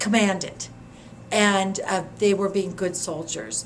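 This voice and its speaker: Fairly slow speech from a woman against noticeable background noise. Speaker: former community organizer. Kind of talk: interview answer.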